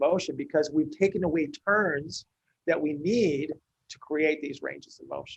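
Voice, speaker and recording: This is a man's voice. His pitch sits fairly high. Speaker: physical therapist. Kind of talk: Q&A teaching session. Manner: fast; repeats words, halting.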